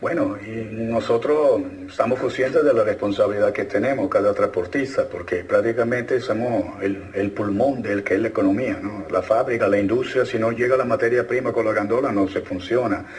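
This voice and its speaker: A man talks at a moderate pace with hardly any pauses over noticeable background noise. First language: Italian (speaking Spanish). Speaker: heavy transport association leader. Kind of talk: radio interview.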